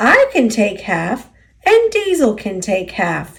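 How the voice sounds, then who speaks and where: A woman's put-on character voice, fairly high-pitched, at a fairly slow pace. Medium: read story.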